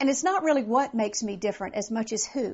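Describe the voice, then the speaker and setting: A woman's upbeat voice with an American accent, at a moderate pace and with ordinary pitch variation. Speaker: motivational speaker and comedian. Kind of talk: direct address to event planners. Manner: upbeat, conversational.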